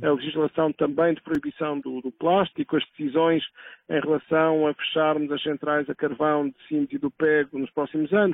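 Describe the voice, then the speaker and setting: His intonation flat and monotone, a man speaks in a fairly high voice. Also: moderate pace. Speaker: environmental association president and professor. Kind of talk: interview. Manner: halting.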